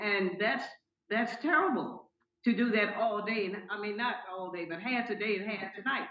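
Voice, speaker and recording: A woman speaks at a fairly high pitch. Room echo can be heard. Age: 80s+. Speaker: landlord grandmother in court. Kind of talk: court testimony. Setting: video call court hearing. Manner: halting, repeats words.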